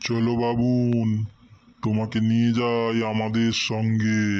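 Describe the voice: In a cartoonish character voice at medium pitch, a man speaks at a very slow pace with monotone, flat intonation.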